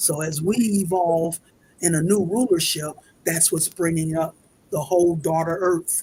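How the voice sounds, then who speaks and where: Her voice is somewhat breathy and fairly low for a woman, with ordinary pitch variation. She speaks at a fairly slow pace. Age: 70s. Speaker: spiritual speaker. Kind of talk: interview.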